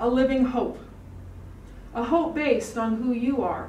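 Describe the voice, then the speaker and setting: A woman speaks at a fairly slow pace in a high voice, with audible room echo and light background noise. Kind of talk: prayer. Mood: solemn, calm. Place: hall. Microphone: podium.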